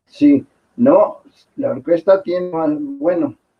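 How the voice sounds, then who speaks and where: A man speaks at a very slow pace. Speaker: orchestra musician. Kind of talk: interview.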